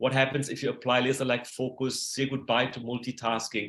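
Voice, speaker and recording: A man speaks fairly quickly with a German accent. His fairly high-pitched voice has a bright, sharp tone. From Germany. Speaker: productivity coach. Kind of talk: presentation. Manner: hesitant with fillers.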